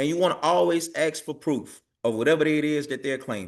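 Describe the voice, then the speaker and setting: A man with a fairly high pitch talks at a fairly quick pace with ordinary pitch variation over a quiet background. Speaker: tax preparation trainer. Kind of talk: online training session. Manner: fast.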